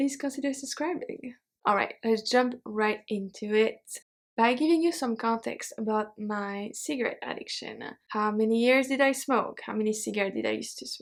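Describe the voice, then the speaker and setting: A woman with a French accent speaks at a fairly high pitch with ordinary pitch variation. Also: moderate pace. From Belgium. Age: 30s. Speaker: YouTuber and French teacher. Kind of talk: personal vlog storytelling.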